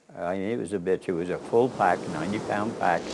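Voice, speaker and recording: Noticeable background noise is audible. A man talks through it. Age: 80s+. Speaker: painter and war veteran. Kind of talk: interview storytelling.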